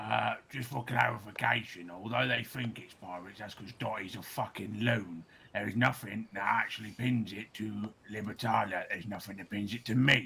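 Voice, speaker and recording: A man's put-on character voice, fairly low-pitched, at a moderate pace with hardly any pauses. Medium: game stream.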